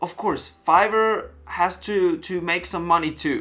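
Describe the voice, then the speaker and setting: Over music in the background, the speaker talks at a fairly slow pace with a non-native accent. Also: man. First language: German. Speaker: web designer, freelancer. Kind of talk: talking-head vlog.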